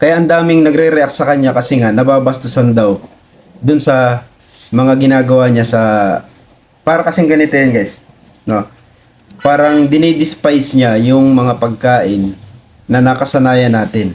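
A man speaks at a moderate pace in a medium pitch, with ordinary pitch variation, very even loudness, and long, frequent pauses. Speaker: video creator commenting on viral content. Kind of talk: casual commentary reacting to clips. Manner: conversational, explanatory.

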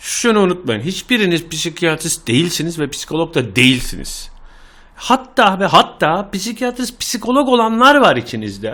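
On a very clean recording with a silent background, a man speaks in an animated, bright and sharp tone, high in pitch, with very wide pitch swings. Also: fairly slow pace. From Ankara, Turkey. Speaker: podcaster. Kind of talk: casual monologue. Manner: animated, informal.

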